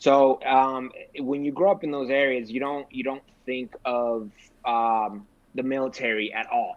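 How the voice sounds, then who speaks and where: A man talks in an ordinary speaking voice at medium pitch with fairly even intonation. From California, Sacramento area (born in Mexico). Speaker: military veteran, realtor. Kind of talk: casual podcast interview.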